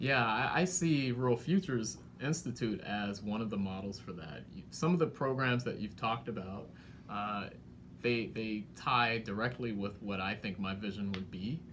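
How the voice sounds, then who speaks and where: A man with an American accent speaks at a fairly low pitch with lively intonation and a moderate pace. Room echo is audible. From Washington, D.C. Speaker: economic development director. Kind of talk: interview conversation.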